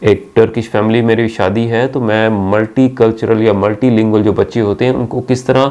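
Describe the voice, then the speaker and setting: Pitched in the medium range, a man speaks with a dark, mellow tone. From Pakistan. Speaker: university teacher. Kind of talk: channel introduction talk to camera. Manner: friendly, conversational.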